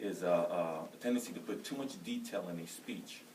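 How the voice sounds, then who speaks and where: A loud male voice with audible room echo and noticeable background noise. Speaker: soldier and college student. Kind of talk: class speech. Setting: room with audience. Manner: fast.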